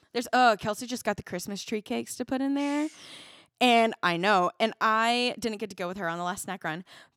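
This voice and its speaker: On a very clean recording with a silent background and a dry, close sound with no echo, a woman with an unremarkable speaking voice talks at a fairly quick pace, her pitch fairly high with ordinary variation. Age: 20s. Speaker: podcast host and worship leader. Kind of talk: casual chat.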